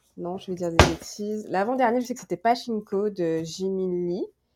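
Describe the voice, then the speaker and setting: A woman with a medium pitch talks fairly slowly, her pitch varying in an ordinary way. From Guadeloupe. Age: 30s. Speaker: book blogger, graduate student. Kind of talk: casual interview. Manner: halting, many repetitions and fillers.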